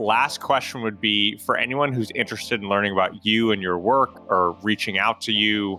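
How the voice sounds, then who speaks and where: A man with an American accent, fairly low in pitch, at a moderate pace, over music in the background. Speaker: podcast host. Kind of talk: interview.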